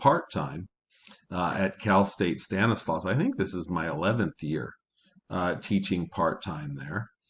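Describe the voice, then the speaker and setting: A man in an American accent speaks at a fairly slow pace with a very deep, low pitch. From Kentucky. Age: 60s. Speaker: college professor. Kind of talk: lecture. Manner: halting, frequent uh fillers.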